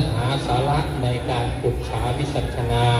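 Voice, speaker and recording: Man recorded with audible room echo and noticeable background noise. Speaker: monk preacher. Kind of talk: sermon.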